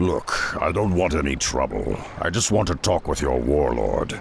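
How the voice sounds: Doing a put-on character voice, a man speaks at a moderate pace in an extremely low register with vocal fry and big pitch swings.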